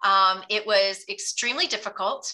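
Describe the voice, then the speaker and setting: A woman speaks in a bright, sharp tone with fairly even intonation. The recording is very clean, with a silent background. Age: 50s. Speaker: intermittent fasting advocate. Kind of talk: casual chat. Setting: call.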